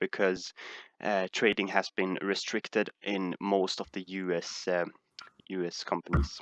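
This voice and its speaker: Over a quiet background, a man with a Swedish accent and a very deep, low pitch speaks at a moderate pace in a monotone, flat intonation, with a dry, close sound and no echo. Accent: Swedish accent, sounds similar to Dutch. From Sweden. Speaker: stock market streamer. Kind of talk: live stream Q&A. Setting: live stream. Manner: halting, many fillers.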